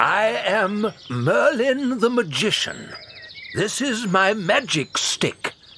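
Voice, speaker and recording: Very slow, high-pitched speech from a man in a put-on character voice. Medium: audio drama. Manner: grave, authoritative.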